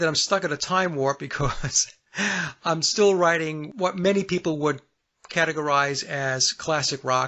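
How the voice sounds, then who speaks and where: This man has a plain, everyday voice, fairly high in pitch, with ordinary pitch variation and a moderate pace. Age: 60s. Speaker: singer-songwriter. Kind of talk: radio interview.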